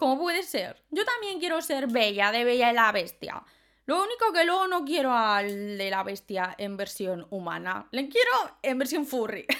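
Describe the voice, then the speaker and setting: A woman with a high pitch talks at a moderate pace in a bright, sharp, animated tone, her pitch swinging very widely. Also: very clean recording, silent background. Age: 20s. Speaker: podcaster. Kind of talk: casual monologue.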